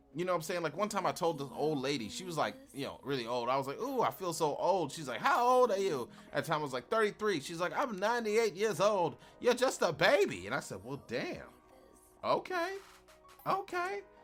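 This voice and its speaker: A man's high-pitched voice with very wide pitch swings at a fairly quick pace, over music in the background. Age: 30s. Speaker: podcast host. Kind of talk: casual monologue. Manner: animated.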